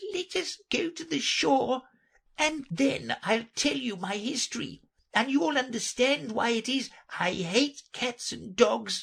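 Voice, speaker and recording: Someone uses a put-on character voice, fairly high in pitch and fairly slow in pace. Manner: angry, emotional.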